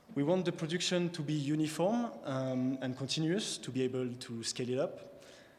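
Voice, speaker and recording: A fairly high-pitched man at a fairly quick pace, with ordinary pitch variation. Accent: French. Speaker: PhD researcher, prize recipient. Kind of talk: scientific talk. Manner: halting, with fillers.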